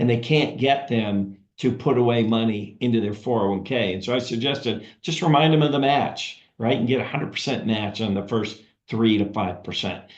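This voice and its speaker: Audible room echo surrounds a man speaking fairly quickly at a medium pitch. His intonation is fairly even. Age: 60s. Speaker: financial advisory consultant. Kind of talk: webinar presentation. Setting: video call webinar.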